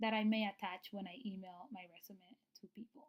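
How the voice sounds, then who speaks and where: At a moderate pace, a woman speaks in a fairly high, somewhat breathy voice. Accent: Spanish. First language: Spanish. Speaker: nurse practitioner / registered nurse. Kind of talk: tutorial. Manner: casual, with many fillers.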